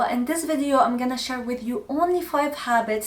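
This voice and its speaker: A woman with an Arabic accent, high pitch, ordinary pitch variation and a moderate pace, with noticeable background noise. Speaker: lifestyle content creator. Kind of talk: casual vlog talk to camera.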